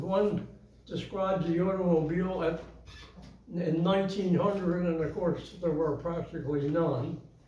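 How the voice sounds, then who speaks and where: Noticeable background noise and audible room echo surround a man speaking at a high pitch with fairly even intonation. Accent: American. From US, western Pennsylvania. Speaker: retirement home resident presenter. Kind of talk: talk to audience. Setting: room with audience, with microphone. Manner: halting.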